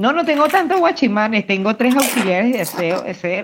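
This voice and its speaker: The speaker keeps a moderate pace with very wide pitch swings. Noticeable background noise is present. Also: man. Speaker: podcast co-host. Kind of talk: casual chat.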